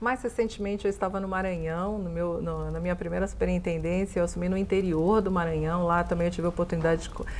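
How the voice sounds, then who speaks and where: Against noticeable background noise, a woman talks very fast with hardly any pauses. Her pitch is fairly low and her intonation fairly even. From São Paulo coast, Brazil (Santos). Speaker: bank executive. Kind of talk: interview.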